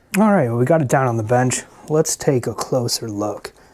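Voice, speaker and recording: Against a quiet background, the words come at a moderate pace. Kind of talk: casual show-and-tell commentary. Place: home room. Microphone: phone near.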